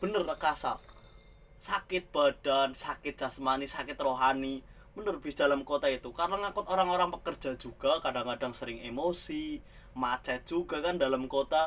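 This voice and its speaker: Speaking with a slight Banyumas accent, a man has a fairly high pitch. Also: ordinary pitch variation, moderate pace. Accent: slight Ngapak Javanese accent in Indonesian. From Central Java, Ngapak region (Tegal). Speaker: migrant bus driver, vlogger. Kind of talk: casual vlog monologue.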